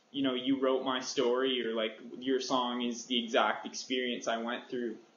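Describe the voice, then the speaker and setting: The audio has audible room echo. A man with a Canadian accent talks at a medium pitch. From Canada (Ontario). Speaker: singer-songwriter. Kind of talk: interview. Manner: quiet, easygoing.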